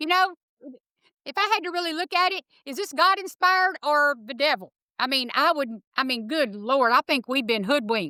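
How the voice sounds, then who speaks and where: A woman's raised, projected voice at high pitch with very wide pitch swings, a bright, sharp tone, a moderate pace and a dry, close sound with no echo. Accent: Texas. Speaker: animal rescuer, former cattle rancher. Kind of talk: interview.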